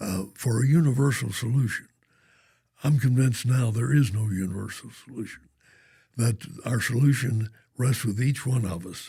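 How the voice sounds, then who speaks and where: Speaking with an American accent, the voice has a dark, mellow tone, is somewhat breathy, shows ordinary pitch variation and leaves long, frequent pauses. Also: man, medium pitch for a man, moderate pace. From Oklahoma (Norman). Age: 90s (95). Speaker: banker and philanthropist. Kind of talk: podcast interview.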